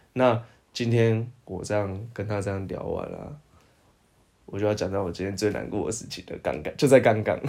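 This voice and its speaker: A man talks at a moderate pace in a fairly low, dark, mellow voice. His intonation stays fairly even while his loudness swings widely. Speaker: podcast co-host. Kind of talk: casual chat.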